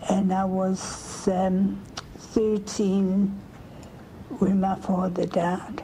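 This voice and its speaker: A woman speaks with a medium pitch. Noticeable background noise and audible room echo are present. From South Africa, Germiston near Johannesburg. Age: 80s+. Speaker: family history interviewee. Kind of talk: oral history interview.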